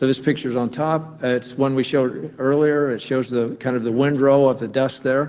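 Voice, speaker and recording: A man has an ordinary speaking voice, talking at a medium pitch and moderate pace with fairly even intonation. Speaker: nuclear plant engineer presenting inspection findings. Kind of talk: technical presentation at public meeting.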